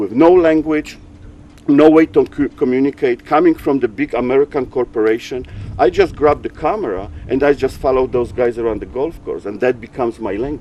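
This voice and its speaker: A man with a Polish accent talks at a fairly quick pace and a fairly high pitch, with ordinary pitch variation. Noticeable background noise sits behind him. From Poland, small mountain town. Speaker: sailing photographer. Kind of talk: interview. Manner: halting, repeats words.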